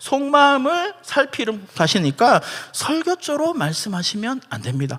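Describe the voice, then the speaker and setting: A man's raised, projected voice at a fairly slow pace. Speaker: pastor. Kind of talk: church seminar lecture. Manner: animated.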